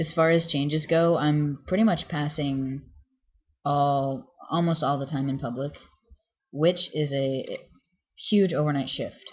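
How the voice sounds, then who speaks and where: A man speaks in a somewhat breathy voice, leaving long, frequent pauses. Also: fairly even intonation, fairly slow pace. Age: 30s. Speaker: vlogger. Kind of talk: casual video diary. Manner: hesitant, many fillers.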